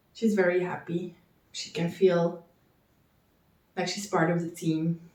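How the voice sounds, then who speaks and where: At a moderate pace, a woman speaks in a dark, mellow tone, somewhat breathy and at a medium pitch. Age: 20s. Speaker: knitting vlogger. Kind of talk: casual chat.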